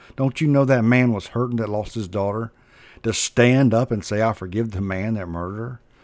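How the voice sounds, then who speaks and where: A man with a normal speaking voice at a medium pitch, ordinary pitch variation and a fairly quick pace, in a very clean recording with a silent background. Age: 40s. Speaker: preacher. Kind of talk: sermon.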